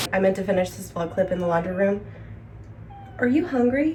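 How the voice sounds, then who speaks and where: Speaking at a fairly quick pace with lively intonation, a woman uses a medium pitch amid audible room echo and noticeable background noise. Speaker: lifestyle vlogger. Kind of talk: casual vlog narration. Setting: at home. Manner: loud.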